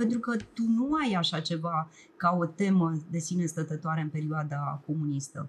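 A woman with a fairly low, somewhat breathy voice speaks at a moderate pace with ordinary pitch variation. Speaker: television producer and documentary director. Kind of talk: casual chat. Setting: studio.

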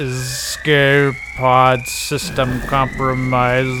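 In a put-on character voice, a man sounds robotic at a medium pitch and a very slow pace. Loud background noise runs underneath.

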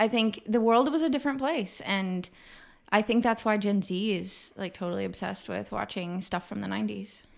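A woman talks at a moderate pace. She has a normal speaking voice. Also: medium pitch for a woman, ordinary pitch variation. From Kansas City, Missouri. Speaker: singer-songwriter. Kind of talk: casual chat. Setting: in person at host's house.

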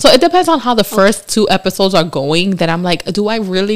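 A woman talks very fast with lively intonation and a medium-pitched voice. There is noticeable background noise. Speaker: podcast co-host. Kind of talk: casual chat. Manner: giggly, uses 'like' a lot.

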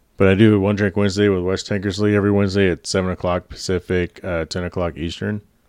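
In a quiet background with a dry, close sound and no echo, a man with a very deep, low voice speaks very fast in a monotone, flat delivery with hardly any pauses. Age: 40s. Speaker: hospital contractor and podcaster. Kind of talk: casual chat. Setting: home living room.

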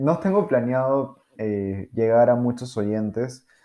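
On a very clean recording with a silent background, a man with a Peruvian accent talks very slowly in a medium-pitched voice with a dark, mellow tone. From Peru, Lima. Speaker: podcaster. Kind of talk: casual monologue. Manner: halting, many fillers.

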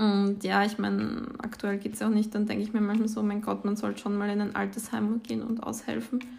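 Fairly high in pitch, a woman speaks at a fairly quick pace in a monotone, flat way with hardly any pauses. Noticeable background noise and audible room echo are present. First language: Croatian or Slovenian (speaking German). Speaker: podcast co-host. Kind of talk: casual chat.

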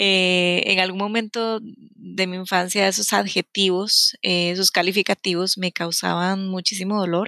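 With a Costa Rican accent, a woman speaks at a fairly slow pace and medium pitch in a bright, sharp tone, her intonation monotone and flat, with hardly any pauses, in a dry, close sound with no echo on a very clean recording with a silent background. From Costa Rica, San José. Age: 30s. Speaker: podcast host, self-knowledge coach. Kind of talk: personal storytelling monologue.

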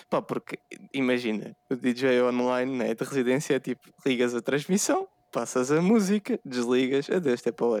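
A man speaks at a moderate pace with medium pitch and ordinary pitch variation, an ordinary speaking voice. The sound is dry and close with no echo. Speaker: podcast co-host, photographer. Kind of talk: casual chat.

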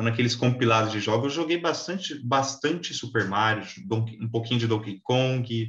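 Medium in pitch with ordinary pitch variation, a man with an unremarkable speaking voice talks at a moderate pace. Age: 20s. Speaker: podcast host. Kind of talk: casual chat.

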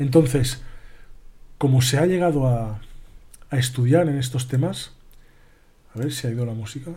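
Somewhat breathy, a man of medium pitch speaks at a moderate pace with a dark, mellow tone and ordinary pitch variation. Long, frequent pauses and audible room echo fill the recording. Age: 20s. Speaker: podcast host on spirituality. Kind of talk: live-stream monologue. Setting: live stream.

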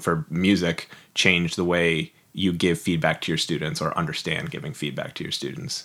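A man speaks in a very deep, low voice with a bright, sharp tone and ordinary pitch variation. The recording is very clean, with a silent background. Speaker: podcast host and writer. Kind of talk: interview conversation.

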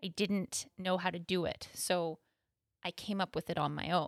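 A woman talks at a fairly slow pace in a Canadian accent. The sound is dry and close, with no echo. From Canada, Thunder Bay, Ontario. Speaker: artist and yoga teacher. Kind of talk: interview.

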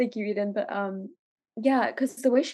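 A woman's medium-pitched voice with an American accent, dark and mellow in tone, fairly quick, with fairly even intonation. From Los Angeles. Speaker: podcast co-host. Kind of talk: casual chat.

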